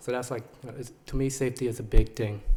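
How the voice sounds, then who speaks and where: At a very fast pace, a man talks in a somewhat breathy voice with a dark, mellow tone. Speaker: parent speaking at public comment. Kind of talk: public comment at a board meeting. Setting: public meeting with audience. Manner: halting, many fillers.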